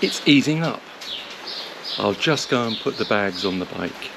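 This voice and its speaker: Over noticeable background noise, a man speaks with lively intonation at a moderate pace. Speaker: motorcycle travel vlogger. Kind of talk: travel vlog. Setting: hotel foyer, then roadside at border. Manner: hesitant, many fillers; shouting.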